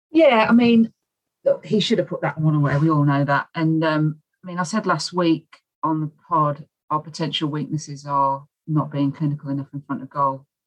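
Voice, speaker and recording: A woman speaks with a very deep, low pitch. Her pace is moderate and her pitch varies in an ordinary way. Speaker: football fan panelist. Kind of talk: casual chat.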